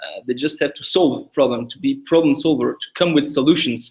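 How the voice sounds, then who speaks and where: With a French accent, the speaker talks at a moderate pace. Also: man. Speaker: tech company founder. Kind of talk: podcast interview. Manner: halting, many repetitions.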